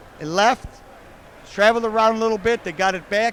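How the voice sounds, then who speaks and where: A man in an American accent at a very fast pace, with noticeable background noise. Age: 60s. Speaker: car show host and car builder. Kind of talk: casual interview. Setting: indoor car show. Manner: animated.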